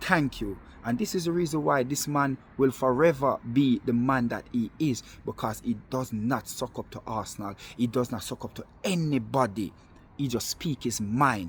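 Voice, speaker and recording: A man with a Jamaican accent speaks at a moderate pace. His voice is somewhat breathy, medium in pitch, with ordinary pitch variation. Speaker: football fan vlogger. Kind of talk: monologue video rant. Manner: animated.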